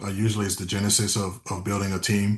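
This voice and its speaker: A man talks very fast in a Memphis accent. His pitch sits fairly low. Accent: US Southern (Memphis). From West Tennessee, Memphis area. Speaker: real estate team leader. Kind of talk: interview. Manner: frequent fillers and self-repetition.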